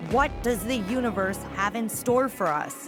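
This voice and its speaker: A woman's fairly high voice at a very slow pace, with music in the background. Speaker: podcast host. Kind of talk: podcast intro.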